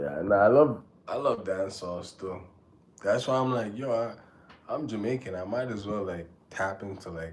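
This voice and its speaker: Speaking with long, frequent pauses, a man with a fairly low pitch and ordinary pitch variation shows big swings in loudness, with audible echo in the room. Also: moderate pace. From Canada (born in Jamaica, raised in Canada). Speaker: rapper and livestreamer. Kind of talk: casual chat. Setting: livestream. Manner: casual, halting with filler words.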